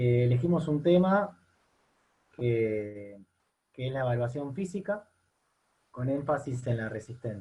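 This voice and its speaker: A somewhat breathy man with a dark, mellow tone talks at a fairly slow pace, with lively intonation and long, frequent pauses. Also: medium pitch for a man. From Argentina. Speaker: university lecturer and fitness coach. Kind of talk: online seminar lecture. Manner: hesitant, repeats words.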